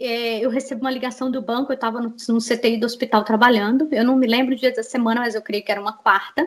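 This is a woman speaking. Her pitch is high. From Brazil, Minas Gerais (Betim). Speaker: scam victim telling her story. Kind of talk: testimony. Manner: animated.

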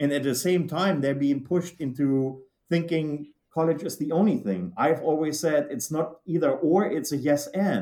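In a German accent, the dark, mellow voice keeps a moderate pace with ordinary pitch variation. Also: man, fairly high pitch for a man. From Germany. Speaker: manufacturing executive. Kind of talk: interview.

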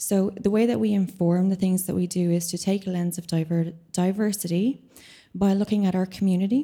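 A woman's somewhat breathy, dark, mellow voice at medium pitch, moderate pace and fairly even intonation, on a very clean recording with a silent background. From Ireland. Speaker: composer and venue programmer. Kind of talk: panel discussion. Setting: stage with audience.

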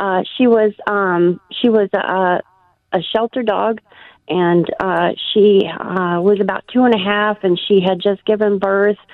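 With fairly even intonation, a woman talks at a very slow pace. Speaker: caller. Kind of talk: phone-in chat. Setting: phone call. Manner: halting.

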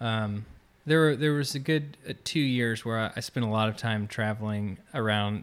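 A normal speaking voice from a man with an American accent, medium pitch, fairly even intonation and a fairly slow pace, on a very clean recording with a silent background. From Florida, near Orlando. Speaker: musician in residence. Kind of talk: interview.

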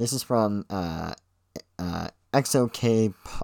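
Lively intonation marks a man's medium-pitched, normal speaking voice. The sound is dry and close with no echo, on a very clean recording with a silent background. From Ontario, Canada. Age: 20s. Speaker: podcaster. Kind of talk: casual monologue.

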